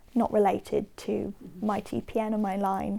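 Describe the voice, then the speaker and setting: A woman with a Southern English accent has a dark, mellow tone at a medium pitch. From Watford, England. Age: 20s. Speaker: patient. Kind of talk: interview answer.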